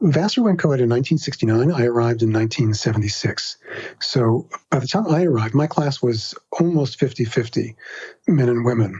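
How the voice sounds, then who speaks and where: In an American accent, a man talks at a fairly quick pace and medium pitch. His voice is somewhat breathy, with ordinary pitch variation and very even loudness. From New York City, Queens. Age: 60s. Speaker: writer and podcaster. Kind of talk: interview.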